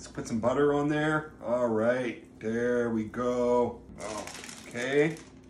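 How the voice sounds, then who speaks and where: A man is speaking. The room echo is audible, and there's light background noise. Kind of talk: casual cooking tutorial. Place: kitchen. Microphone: phone near.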